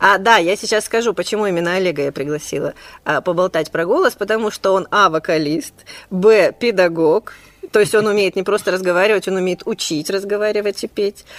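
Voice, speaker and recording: Speech comes fairly quickly here, and its pitch shifts in an ordinary way. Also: woman, medium pitch for a woman. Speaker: podcast host. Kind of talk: casual chat. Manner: fast.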